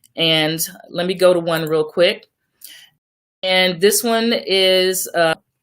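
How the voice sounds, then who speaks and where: Pausing long and often, a woman with an American accent and medium pitch speaks very slowly with fairly even intonation. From Oklahoma. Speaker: radio co-host. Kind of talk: online radio show discussion.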